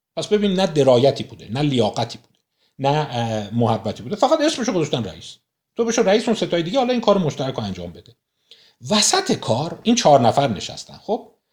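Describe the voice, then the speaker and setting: A man at a very fast pace, fairly high in pitch, with very wide pitch swings, big swings in loudness and vocal fry, on a very clean recording with a silent background. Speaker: book discussion host. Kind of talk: lecture.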